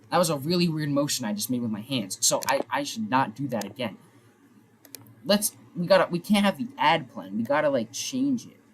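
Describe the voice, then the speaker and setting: This man's voice sits fairly high and swings very widely in pitch. He talks at a fairly quick pace, somewhat breathy. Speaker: sports streamer. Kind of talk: casual live stream commentary. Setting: live stream with face cam.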